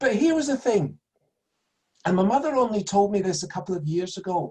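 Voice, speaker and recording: Speaking in a Glaswegian accent, a man talks at a fairly quick pace with lively intonation. His pitch is high, his tone dark and mellow. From Scotland, Glasgow. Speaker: son of a Nazi perpetrator, speaker. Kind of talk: public talk.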